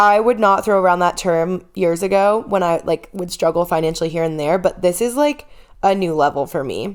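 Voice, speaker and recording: A woman speaks in a normal speaking voice at a fairly quick pace. Her pitch is medium, with ordinary variation. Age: 30s. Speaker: podcast host and fitness coach. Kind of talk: personal podcast monologue. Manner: emotional, candid.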